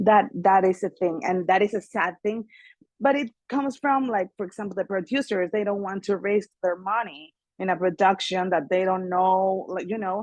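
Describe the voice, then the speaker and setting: Recorded with a dry, close sound and no echo, a woman speaks in a Mexican accent. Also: medium pitch for a woman, ordinary pitch variation, moderate pace. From Mexico, Mexico City. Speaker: singer and actress. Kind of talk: interview.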